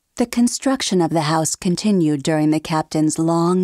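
A woman speaks with a dark, mellow tone at a fairly low pitch. The sound is dry and close with no echo, and the recording is very clean with a silent background. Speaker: voice actor. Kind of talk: ghost story narration.

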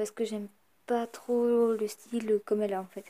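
Here a woman speaks in a fairly high pitch. Her intonation is monotone and flat. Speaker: YouTuber. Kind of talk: casual vlog talk. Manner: hesitant with many fillers.

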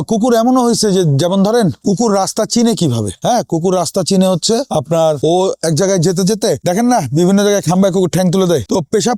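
Very clean, with a silent background, the recording features a man speaking at a high pitch with ordinary pitch variation. His tone is dark and mellow. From Bangladesh. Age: 40s. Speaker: dog breeder. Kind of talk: casual interview on a kennel tour.

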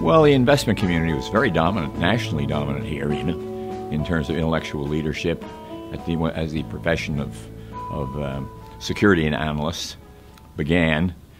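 A man with a very deep, low pitch speaks at a fairly quick pace. Clear music plays in the background. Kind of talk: interview answer. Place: office.

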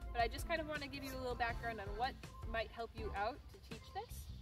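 A woman talking at a very fast pace, with clear music in the background. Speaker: dog trainer vlogger. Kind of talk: tutorial. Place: garden. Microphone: camera far.

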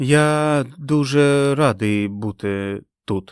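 Here a man puts on a character voice at a medium pitch, sounding nervous and shaky. He speaks at a very slow pace. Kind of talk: stiff, formal greeting. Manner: monotone, nervous.

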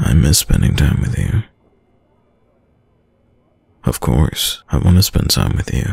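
A man's put-on character voice, extremely low and slow, with a husky, rough edge, vocal fry and big pitch swings

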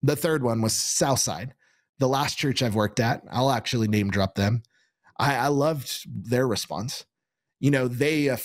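This man talks at a moderate pace with an American accent. The sound is dry, with no echo. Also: quiet background. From Kansas. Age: 30s. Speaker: pastor. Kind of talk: sermon. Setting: studio. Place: studio. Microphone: studio mic.

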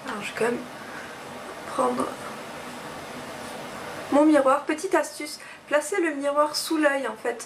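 With faint background noise behind her, a woman speaks at a fairly slow pace and a high pitch with ordinary variation, using vocal fry and long, frequent pauses.

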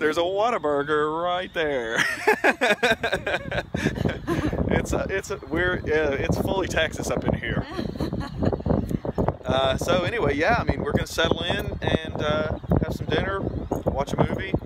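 Against loud background noise, a man talks at a moderate pace with ordinary pitch variation and long, frequent pauses. The sound is dry, with no echo. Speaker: travel vlogger. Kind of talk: casual vlog chat. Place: street. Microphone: phone near.

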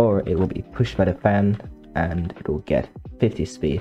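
Over music in the background, a man with a very deep, low pitch speaks at a fairly slow pace with lively intonation. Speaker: video game content creator. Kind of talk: game tutorial narration. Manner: hesitant, many filler sounds.

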